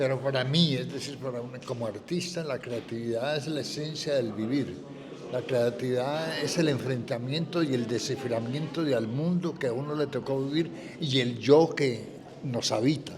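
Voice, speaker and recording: A man's medium-pitched voice amid audible room echo and noticeable background noise. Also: ordinary pitch variation, moderate pace. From Colombia, Popayán. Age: 70s. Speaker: writer and painter. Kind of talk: interview. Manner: reflective, measured.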